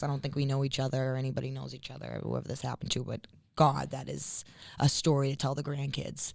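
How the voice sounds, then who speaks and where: With a Boston accent, a woman talks at a fairly quick pace in a very deep, low pitch with vocal fry. The recording is very clean, with a silent background. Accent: thick Boston. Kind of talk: casual podcast conversation.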